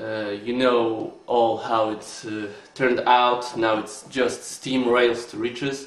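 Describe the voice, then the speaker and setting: A man speaks very slowly with fairly even intonation. Noticeable background noise and audible room echo surround him. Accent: Polish. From Poland. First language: Polish. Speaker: board game reviewer. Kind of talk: video review. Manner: halting, many filler sounds.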